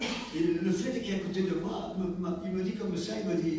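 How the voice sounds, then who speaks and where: A high-pitched man is speaking in a room with audible echo and noticeable background noise. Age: 70s. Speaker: preacher. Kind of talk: sermon.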